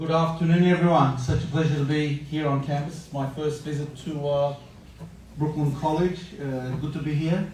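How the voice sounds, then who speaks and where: The speech moves at a moderate pace in a monotone, flat intonation. Audible room echo and noticeable background noise are present. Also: man, fairly high pitch for a man. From Australia. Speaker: interfaith moderator. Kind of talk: panel moderation.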